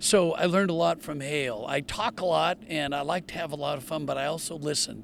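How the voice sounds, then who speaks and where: A man with a fairly high pitch speaks at a fairly quick pace. Vocal fry runs through his voice. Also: ordinary pitch variation, hardly any pauses. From US Pacific Northwest, Portland, Oregon. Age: 70s. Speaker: retired pro golfer and TV golf commentator. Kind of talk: interview.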